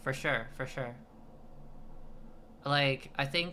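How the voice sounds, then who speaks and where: A woman speaks very slowly with a very deep, low pitch and ordinary pitch variation. Her tone is bright and sharp, and the room echo is audible. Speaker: streamer. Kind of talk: casual chat. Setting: live stream. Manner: halting.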